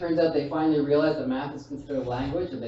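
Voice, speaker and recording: A man speaks at a fairly high pitch. Audible room echo and noticeable background noise fill the recording. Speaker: stand-up comedian. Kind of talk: stand-up. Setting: stage with audience.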